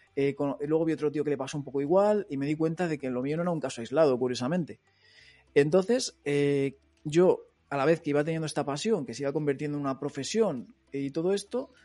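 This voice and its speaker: A man at a very fast pace, fairly high in pitch, with ordinary pitch variation and music in the background. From Madrid, Spain (Móstoles). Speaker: online entrepreneur, former police officer. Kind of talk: interview. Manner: casual, filler-heavy.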